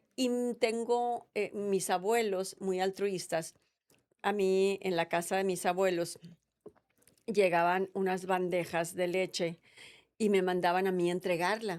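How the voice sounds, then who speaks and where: A woman with a normal speaking voice talks at a fairly slow pace, her medium pitch carried in fairly even intonation. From Mexico, Sonora. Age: 60s. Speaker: politician. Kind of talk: interview.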